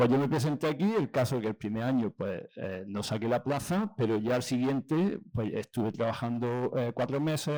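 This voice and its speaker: With an Andalusian accent, a man speaks at a moderate pace in a dark, mellow tone with lively intonation. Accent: Granada Andalusian. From Andalusia, Granada. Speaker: school head teacher. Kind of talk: lecture. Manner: casual, relaxed.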